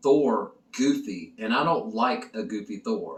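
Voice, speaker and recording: There is noticeable background noise as a man speaks with very wide pitch swings. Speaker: film reviewer. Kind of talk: casual video review.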